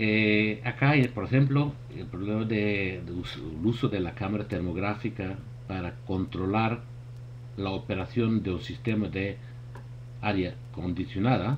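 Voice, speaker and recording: The speaker has a Portuguese accent, a somewhat breathy voice, and ordinary pitch variation. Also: man, fairly low pitch for a man, fairly slow pace. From Portugal. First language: Portuguese (speaking Spanish). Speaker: thermography expert presenter. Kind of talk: webinar presentation. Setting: online webinar. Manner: halting.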